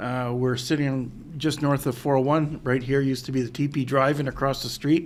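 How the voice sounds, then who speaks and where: Here a man talks fairly quickly in an Ontario accent. His medium-pitched voice is monotone and flat. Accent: Canadian English (Ontario). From Ontario, Canada (Pickering). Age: 60s. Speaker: mayor. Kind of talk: interview. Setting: in-person sit-down interview. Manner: hesitant, many fillers.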